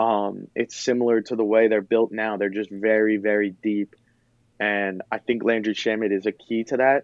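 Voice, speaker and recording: In a fairly low pitch, a man talks at a moderate pace with monotone, flat intonation. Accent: American. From Philadelphia, US. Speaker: sports podcaster. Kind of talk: casual chat.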